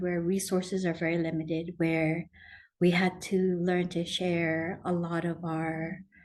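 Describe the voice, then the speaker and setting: Very slowly and with monotone, flat intonation, a woman speaks at a fairly low pitch in a room with audible echo. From Palau. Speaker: ocean policy advisor. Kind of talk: lecture.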